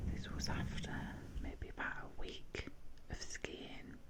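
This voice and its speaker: The whispering comes very slowly. Behind it, background noise is noticeable. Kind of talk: ASMR soft-spoken talk. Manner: soft-spoken.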